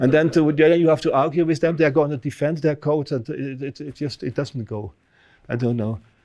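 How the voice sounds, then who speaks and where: A man with a Dutch accent speaks at a fairly quick pace, his fairly high voice dark and mellow in tone with ordinary pitch variation. The background is quiet. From Netherlands. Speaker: professor. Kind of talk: lecture. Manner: halting. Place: hall.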